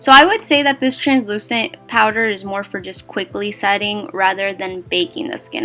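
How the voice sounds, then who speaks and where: With music in the background, a woman talks at a moderate pace and medium pitch with ordinary pitch variation. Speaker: beauty vlogger. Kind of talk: tutorial.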